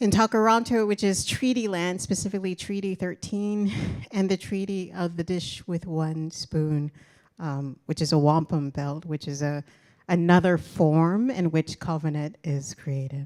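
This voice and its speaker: Someone with an American accent talks at a fairly slow pace in an unremarkable speaking voice with ordinary pitch variation. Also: woman, fairly low pitch for a woman. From US Midwest, Indianapolis. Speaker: design professor, university dean. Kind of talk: lecture.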